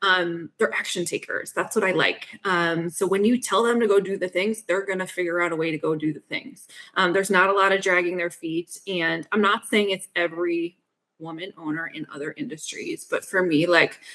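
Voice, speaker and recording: A woman talks at a moderate pace with an American accent. Her tone is bright and sharp. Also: medium pitch for a woman, ordinary pitch variation. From US Northeast. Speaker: fractional CFO. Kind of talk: podcast interview. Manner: direct, assertive.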